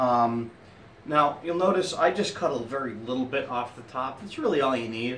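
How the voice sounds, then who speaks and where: Light background noise and audible room echo surround the recording. A man speaks at a moderate pace. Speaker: cigar reviewer. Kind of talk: casual tutorial chat with jokes. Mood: relaxed, joking. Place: home room. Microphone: phone near.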